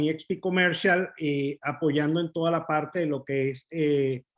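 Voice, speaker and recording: A plain, everyday voice from a man, fairly high in pitch, at a moderate pace with fairly even intonation. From Venezuela. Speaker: commercial real estate advisor. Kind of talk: webinar presentation.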